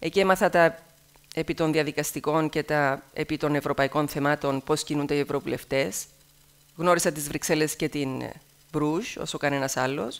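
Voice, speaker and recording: Her voice sits at a very deep, low pitch for a woman. She speaks at a moderate pace with fairly even intonation. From Cyprus, Athienou; Cyprus. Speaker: TV news presenter. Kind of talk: speech to students. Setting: stage with audience. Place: hall. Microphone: headset.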